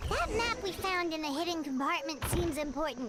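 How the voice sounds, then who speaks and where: At a moderate pace, a high-pitched, put-on character voice comes through over loud background noise. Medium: game stream. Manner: chatty, eager.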